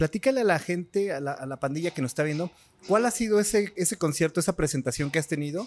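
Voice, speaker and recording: A man with a Mexican accent talks at a very fast pace and a high pitch, his intonation lively. The sound is dry and close, with no echo. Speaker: podcast host. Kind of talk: casual interview.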